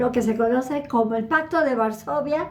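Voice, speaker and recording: A woman speaks in a high voice with ordinary pitch variation. Noticeable background noise and audible room echo surround her. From northern Mexico, Ciudad Juárez. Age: 80s+. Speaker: lecturer on Middle East politics. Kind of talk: Q&A talk.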